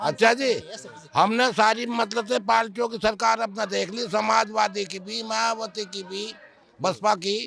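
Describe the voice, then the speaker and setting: Music plays behind a high-pitched man whose intonation stays fairly even while his loudness swings widely. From western Uttar Pradesh, India. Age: 70s. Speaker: elderly villager. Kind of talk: street interview.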